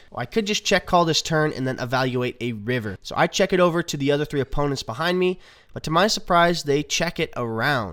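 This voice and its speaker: Upbeat in tone, a man speaks at a fairly quick pace with ordinary pitch variation. The recording is very clean with a silent background. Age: young. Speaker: poker player. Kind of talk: poker vlog voice-over.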